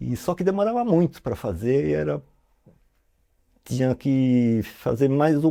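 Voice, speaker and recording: A man's dark, mellow tone comes through as he talks fairly slowly. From São Paulo, Brazil. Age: 60s. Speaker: tattoo artist. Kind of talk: interview storytelling. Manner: casual, filler-heavy.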